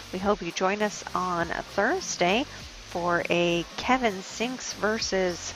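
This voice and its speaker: Over music in the background, a soft-spoken woman talks at a very slow pace with a medium pitch and ordinary pitch variation. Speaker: pool match commentator. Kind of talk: live commentary.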